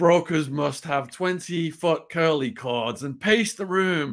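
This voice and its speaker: A man with a northern English accent talks at a very slow pace with lively intonation. The background is quiet. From northwest England. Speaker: author and former prisoner. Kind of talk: interview storytelling. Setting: video call. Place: home room.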